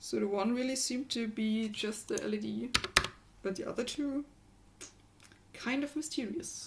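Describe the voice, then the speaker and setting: Pausing long and often, a woman with a strong German accent speaks at a moderate pace and a fairly high pitch, with ordinary pitch variation, very even loudness, and noticeable background noise. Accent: heavy German. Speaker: maker and electronics hacker. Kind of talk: casual livestream chat.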